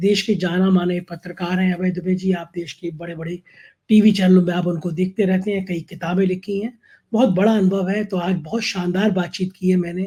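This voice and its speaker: The recording is very clean, with a silent background. The delivery is monotone and flat at a moderate pace. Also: man, high pitch for a man. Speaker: news channel host. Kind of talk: political interview and monologue.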